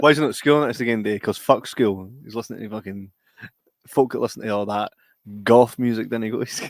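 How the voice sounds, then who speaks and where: A man with a Scottish accent talks at a medium pitch with fairly even intonation. His loudness swings widely. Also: fairly quick pace. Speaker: podcast host. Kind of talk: casual chat. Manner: stutters at times.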